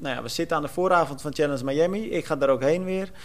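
A man speaking very fast, his pitch fairly high. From Netherlands, Almere. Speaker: podcast host, sports journalist. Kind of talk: casual chat.

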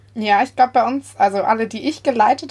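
The woman talks at a fairly quick pace with ordinary pitch variation. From Bavaria (Munich southeast). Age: 20s. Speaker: church youth volunteer. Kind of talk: casual chat. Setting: remote recording from a basement.

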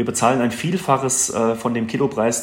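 The speaker keeps a fairly even intonation over noticeable background noise. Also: man. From Hesse, Germany (Wetterau, near Gießen). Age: 40s. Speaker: handball goalkeeper and café owner. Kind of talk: casual interview. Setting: office, remote call.

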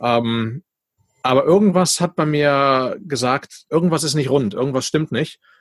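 A man's unremarkable speaking voice, fairly high in pitch with ordinary variation, at a fairly slow pace in a dry, close sound with no echo. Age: 40s. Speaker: podcast host and entrepreneur. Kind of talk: casual interview.

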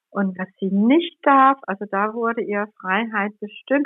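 A woman with a Danish accent speaks at a very slow pace. Her intonation is lively. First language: Danish (speaking German). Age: 60s. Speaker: journalist and tour guide. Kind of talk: interview conversation. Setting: remote call over the internet.

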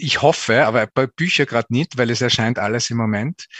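This is a man with a plain, everyday voice. His pitch sits in the medium range. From Austria, Tyrol (Zillertal). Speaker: culture journalist and TV presenter. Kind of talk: interview. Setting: internet call.

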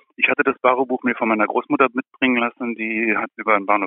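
The man's words come very quickly. His tone moves only a little up and down. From East Germany, Kleinmachnow near Berlin. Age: 70s. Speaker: writer and former journalist. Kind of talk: interview.

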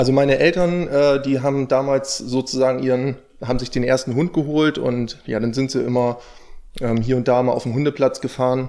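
With a dark, mellow tone and medium pitch, a man speaks fairly quickly in a monotone, flat intonation. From northern Germany, near Stade. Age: 20s. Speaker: dog trainer. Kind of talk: interview.

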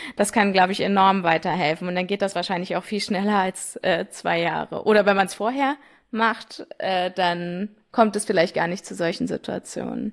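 A woman with an ordinary speaking voice, medium pitch, moderate pace and fairly even intonation, in a very clean recording with a silent background. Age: 20s. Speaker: young family business successor. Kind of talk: interview.

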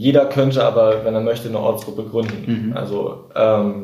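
A man with a somewhat breathy voice and a dark, mellow tone talks amid audible room echo. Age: young. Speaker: climate activist. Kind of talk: interview.

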